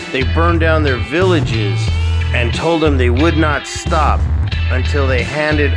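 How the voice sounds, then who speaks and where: Speech unfolds at a fairly slow pace. Music plays in the background. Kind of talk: bedtime story narration.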